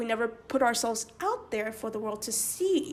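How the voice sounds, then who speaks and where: A woman talks at a fairly quick pace with very wide pitch swings. Noticeable background noise is present. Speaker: video essayist. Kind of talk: casual vlog commentary.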